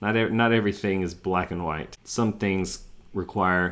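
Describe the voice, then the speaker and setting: A man with an American accent, very deep and low in pitch, bright and sharp in tone, at a fairly slow pace on a very clean recording with a silent background. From US South. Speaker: sports podcast host. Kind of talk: casual chat.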